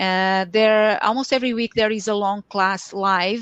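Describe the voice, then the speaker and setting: Woman with a Portuguese accent, medium pitch, fairly slow pace and monotone, flat intonation, dry close sound with no echo over a quiet background. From Portugal. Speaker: Excel consultant and trainer. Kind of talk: lecture. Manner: halting.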